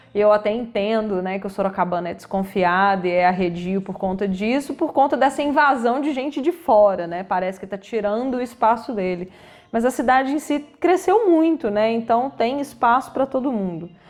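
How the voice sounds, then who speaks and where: Speaking at a moderate pace, a woman uses lively intonation and a fairly high pitch. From Minas Gerais, Brazil (Belo Horizonte). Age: 30s. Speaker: health professional with own practice. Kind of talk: interview.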